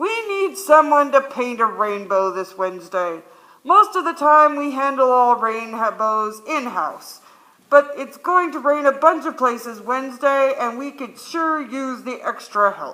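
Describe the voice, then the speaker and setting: A put-on character voice, high in pitch, moves along at a fairly slow pace. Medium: stage play. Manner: folksy, easygoing.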